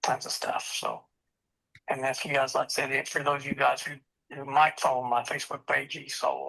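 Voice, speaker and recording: A man talks at a moderate pace. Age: 60s. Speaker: blind mountain climber. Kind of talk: casual chat. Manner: halting.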